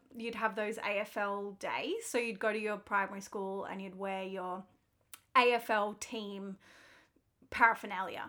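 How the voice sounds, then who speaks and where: A woman's medium-pitched voice in an Australian accent, bright and sharp in tone, monotone and flat, at a fairly slow pace with big swings in loudness, in a very clean recording with a silent background. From Melbourne, Australia. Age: 20s. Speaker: podcast co-host. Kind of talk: casual chat.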